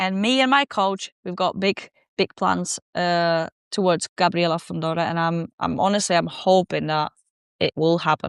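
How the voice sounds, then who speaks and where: A woman with a Polish accent talks at a moderate pace and a fairly low pitch, with ordinary pitch variation. The sound is dry and close with no echo against a quiet background. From southern Poland. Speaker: professional boxer. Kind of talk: podcast interview. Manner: halting.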